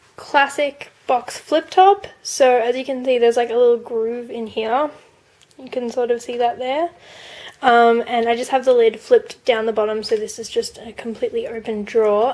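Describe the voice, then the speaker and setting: A woman speaks at a moderate pace in an Australian accent, her pitch high with ordinary variation. Noticeable background noise runs underneath. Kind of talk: casual product review to camera.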